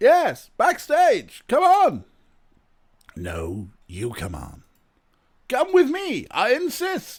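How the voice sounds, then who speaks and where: A man's put-on character voice at an extremely high pitch, very slow with long, frequent pauses, on a very clean recording with a silent background. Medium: game stream. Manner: grandiose, pompous.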